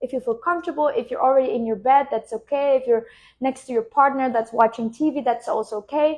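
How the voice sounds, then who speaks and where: Speaking in a high pitch, a woman shows ordinary pitch variation. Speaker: spiritual business coach. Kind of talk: guided meditation; live stream talk. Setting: live stream. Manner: slow; soft-spoken. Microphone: new wireless microphone.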